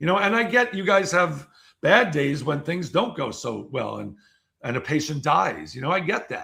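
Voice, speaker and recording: Energetic and animated, a man speaks at a moderate pace in a fairly high, bright, sharp voice with vocal fry and very wide pitch swings. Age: 60s. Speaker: keynote speaker and author. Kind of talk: casual interview chat. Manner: energetic, animated.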